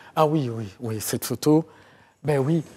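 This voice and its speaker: A man at a very slow pace, dark and mellow in tone, with lively intonation and a quiet background. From Côte d'Ivoire, of Beninese parents. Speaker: historian; guest. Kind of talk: TV interview. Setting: TV studio. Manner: halting, many hesitations. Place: studio. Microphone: lapel.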